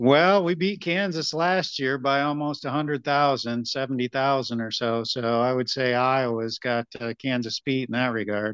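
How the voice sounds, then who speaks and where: In a plain, everyday voice with an American accent, a man speaks at a medium pitch and fairly slow pace, with ordinary pitch variation and hardly any pauses against a quiet background. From upstate New York. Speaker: state wildlife biologist. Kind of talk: interview.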